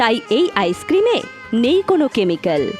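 Music in the background under very wide swings in pitch. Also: woman. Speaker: voice-over artist. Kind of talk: loudspeaker street advertisement. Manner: energetic, promotional.

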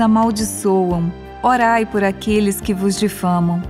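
A woman's medium-pitched voice at a very slow pace, with ordinary pitch variation and music in the background. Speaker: radio presenter. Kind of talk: Bible reading.

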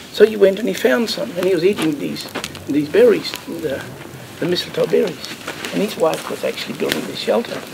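Noticeable background noise fills the recording. The man talking leaves long, frequent pauses. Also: fairly quick pace. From South Australia. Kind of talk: campfire storytelling. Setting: outdoors. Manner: relaxed, conversational. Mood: calm, warm, unhurried. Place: open country.

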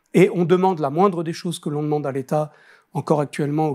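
Against a quiet background, a man with a fairly high pitch and a dark, mellow tone speaks with fairly even intonation. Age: 60s. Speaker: business association president; interviewee. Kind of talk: interview. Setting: studio. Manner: hesitant, with many fillers. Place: studio.

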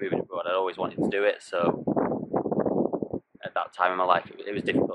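A man talks at a very fast pace amid loud background noise. The sound itself is dry, without echo. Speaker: futsal coach vlogger. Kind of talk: casual vlog chat. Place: open country. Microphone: phone near.

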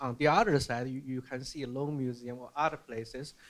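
The speaker has a Chinese accent. The pace is moderate. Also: man. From mainland China. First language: Mandarin Chinese. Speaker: museum curator; panelist. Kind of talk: panel discussion. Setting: stage with audience. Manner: halting, repeats words. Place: hall. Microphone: handheld.

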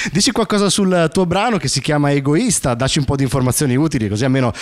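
Against a quiet background, a man with a fairly high pitch talks at a very fast pace with lively intonation. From Sicily. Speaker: radio host. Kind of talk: interview. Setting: studio. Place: studio. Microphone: handheld.

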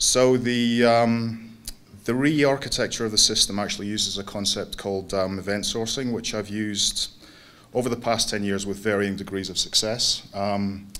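Fairly even intonation marks this man's speech. He keeps a moderate pace. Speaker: conference speaker. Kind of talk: lecture. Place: hall. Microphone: podium.

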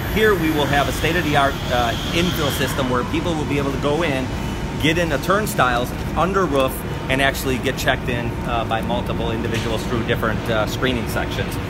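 With music in the background, a man speaks at a very fast pace. His pitch variation is ordinary. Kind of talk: interview answer. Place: street. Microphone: phone near.

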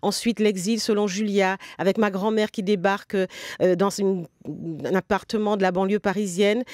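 Over a quiet background, a woman talks at a moderate pace in a monotone, flat intonation, her loudness very even and the sound dry with no echo. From Guadeloupean family, grew up in Paris region. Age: 60s. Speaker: novelist; guest. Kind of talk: interview. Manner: hesitant, many fillers. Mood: calm, reflective. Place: studio.

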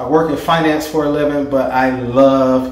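The room echo is audible. The intonation stays monotone and flat. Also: man. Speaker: home DIY vlogger. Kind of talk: casual vlog chat. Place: bathroom.

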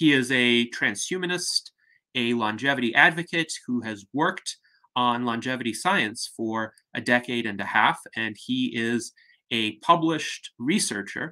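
Against a quiet background, a man speaks at a fairly slow pace with a bright, sharp tone. His pitch varies in an ordinary way. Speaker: host of online salon. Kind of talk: formal introduction. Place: home room. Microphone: webcam.

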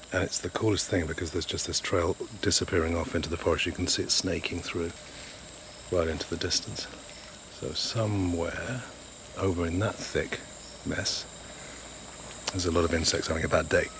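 Fairly quick speech with fairly even intonation, a dry sound with no echo and noticeable background noise. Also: man, very deep, low pitch for a man. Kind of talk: casual vlog chat. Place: forest. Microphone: phone near.

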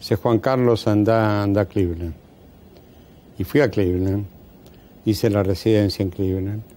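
In a Rioplatense accent, a man speaks at a moderate pace with a fairly low pitch. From Argentina, Buenos Aires (Devoto). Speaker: surgeon and retired professor. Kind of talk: interview. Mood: calm, reminiscing. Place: studio.

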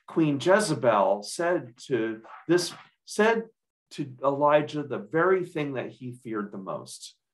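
A man at a very slow pace, with very wide pitch swings and big swings in loudness, against a quiet background. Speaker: pastor. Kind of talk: sermon delivery. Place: home room. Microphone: lapel.

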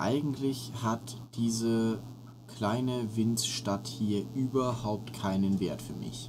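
A man with a medium pitch speaks at a very slow pace in a monotone, flat intonation. Audible room echo is present. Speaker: gaming co-host. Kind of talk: casual chat. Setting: at home during quarantine.

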